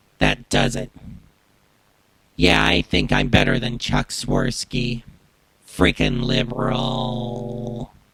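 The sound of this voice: A man's nasal, put-on character voice at a very slow pace, with long, frequent pauses. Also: medium pitch for a man.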